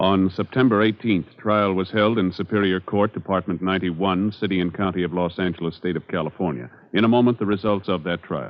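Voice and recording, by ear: A man's low voice at a fairly quick pace, with few pauses and ordinary pitch variation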